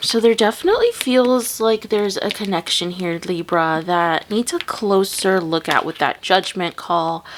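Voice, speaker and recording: Noticeable background noise sits behind a woman speaking at medium pitch. Her pitch variation is ordinary, and she leaves hardly any pauses. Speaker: tarot reader. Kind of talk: tarot reading. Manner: slow.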